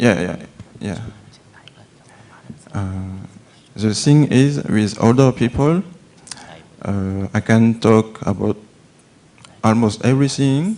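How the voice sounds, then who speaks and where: A man with a French accent speaks very slowly at medium pitch, with long, frequent pauses and ordinary pitch variation, over noticeable background noise. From France. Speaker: agricultural volunteer. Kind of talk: audience question at a Q&A. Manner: hesitant, halting.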